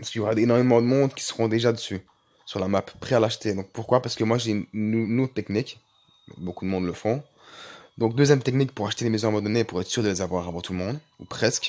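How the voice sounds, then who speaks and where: The speech comes at a very fast pace with fairly even intonation, broken by long, frequent pauses. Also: man. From Belgium. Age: 20s. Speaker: gaming YouTuber. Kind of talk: casual gaming tutorial.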